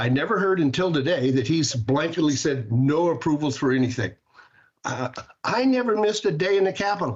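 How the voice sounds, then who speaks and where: A somewhat breathy, fairly high male voice with lively intonation. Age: 70s. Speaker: state senator. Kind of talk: testimony. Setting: committee hearing. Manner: halting.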